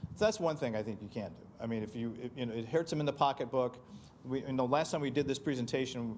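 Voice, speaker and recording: This man has an unremarkable speaking voice, pitched in the medium range, with ordinary pitch variation and a fairly quick pace. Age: 60s. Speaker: county commissioner hosting event. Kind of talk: panel discussion Q&A.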